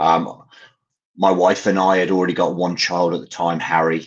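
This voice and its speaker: Against a quiet background, a man with an English accent speaks at a fairly slow pace in a very deep, low pitch. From English Midlands, Coventry. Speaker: parent caregiver, charity founder. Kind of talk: interview storytelling. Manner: hesitant, many fillers.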